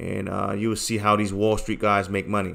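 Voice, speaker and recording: In a New York accent, a man talks in a fairly low pitch with a bright, sharp tone and monotone, flat intonation. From New York City. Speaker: crypto trading streamer and trading course seller. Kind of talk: live stream chat and sales pitch. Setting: live stream. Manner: halting, many fillers and repeats.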